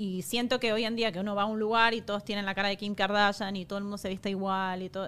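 A woman with an Argentine accent talks at a very fast pace with hardly any pauses. Her medium-pitched voice has monotone, flat intonation. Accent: Argentine Spanish (Rioplatense, voseo). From Argentina. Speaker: makeup artist. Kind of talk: casual chat.

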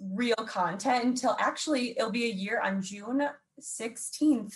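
Delivered at a fairly slow pace, this is a plain, everyday voice with ordinary pitch variation. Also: woman. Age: 20s. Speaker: social media commentator. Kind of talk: casual chat. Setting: video call.

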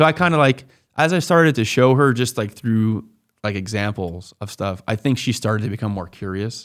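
On a very clean recording with a silent background, a man uses a plain, everyday voice at medium pitch, speaking at a fairly quick pace with lively intonation. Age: 20s. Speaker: pharmacist turned real estate investor. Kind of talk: podcast interview.

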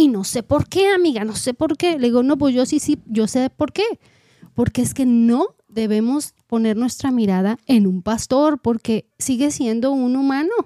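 A woman with a high, dark and mellow voice speaks at a fairly slow pace with lively intonation and very even loudness, the sound dry and close with no echo. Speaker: podcast co-host. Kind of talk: casual chat.

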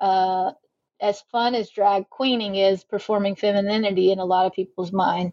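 A woman with an American accent talks fairly slowly at a medium pitch. It is an ordinary speaking voice. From US South, South Carolina. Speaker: sociology professor. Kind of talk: interview.

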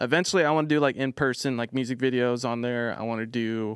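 Recorded very cleanly against a silent background with a dry, close sound and no echo, a man of medium pitch talks at a fairly quick pace with ordinary pitch variation. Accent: American. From US West Coast, Orange County, California. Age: 20s. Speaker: social media music promoter. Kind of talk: casual chat.

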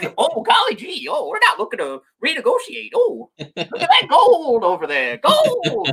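Barely pausing, a man does a put-on character voice at an extremely high pitch. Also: moderate pace. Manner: folksy, gee-whiz.

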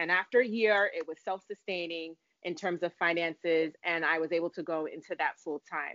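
A woman's unremarkable speaking voice, fairly low in pitch, with fairly even intonation and an American accent. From Brooklyn, New York. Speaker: nurse midwife. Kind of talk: interview, personal life story.

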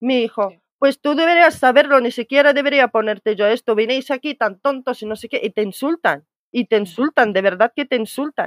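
Recorded with a dry, close sound and no echo, a woman with a high pitch and lively intonation talks at a moderate pace. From Morocco, Tangier. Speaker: immigrant sharing experience. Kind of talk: casual chat.

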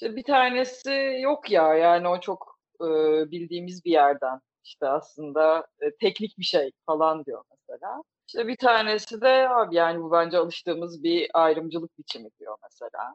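A woman with a fairly low pitch talks with very wide pitch swings and big swings in loudness. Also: moderate pace. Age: 30s. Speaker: podcast host. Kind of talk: casual chat. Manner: animated, laughing often.

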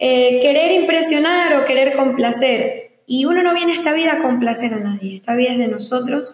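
Her voice is high-pitched for a woman, with ordinary pitch variation and a moderate pace. Room echo can be heard. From Venezuela, Zulia (Maracaibo area). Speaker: influencer and singer. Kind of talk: interview.

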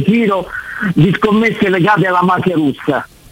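There is noticeable background noise behind this man. He talks at a fairly quick pace with a high pitch. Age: 60s. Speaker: caller. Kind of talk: phone-in chat.

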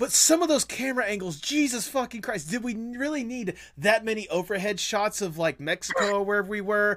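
Hardly pausing, a man with a high pitch talks at a fairly quick pace with lively intonation. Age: 20s. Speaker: podcast host. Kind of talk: casual chat.

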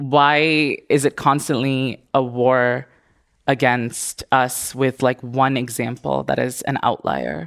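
Speaking at a very slow pace, a woman uses a very deep, low pitch with vocal fry and fairly even intonation. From India and Indonesia. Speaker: businesswoman and marketer. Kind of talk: panel discussion.

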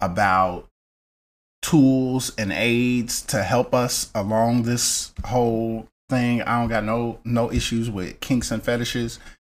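Speaking at a very slow pace with fairly even intonation, a man uses a medium pitch in a very clean recording with a silent background. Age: 30s. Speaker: content creator. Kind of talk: casual chat.

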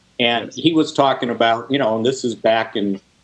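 An ordinary speaking voice from a man with an American accent, medium in pitch, with fairly even intonation at a moderate pace. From Chicago suburbs. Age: 60s. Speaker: sports journalist and podcast host. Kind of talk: casual interview.

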